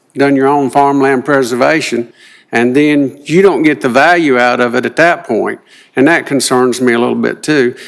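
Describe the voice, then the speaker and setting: Using fairly even intonation, a man with an American accent talks at a moderate pace and a medium pitch. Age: 60s. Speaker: farmer. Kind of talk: public comment. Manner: halting.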